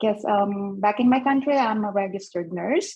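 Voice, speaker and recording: Somewhat breathy, a woman's voice moves with ordinary pitch variation. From Philippines. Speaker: nurse, mental health speaker. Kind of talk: personal testimony on panel. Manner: halting, many fillers.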